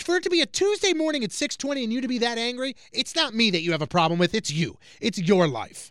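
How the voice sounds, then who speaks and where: Loud and very fast, this speaker talks in an American accent with hardly any pauses and very wide pitch swings. The recording is very clean, with a silent background. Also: man, extremely high pitch for a man. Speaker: radio host. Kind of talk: casual chat.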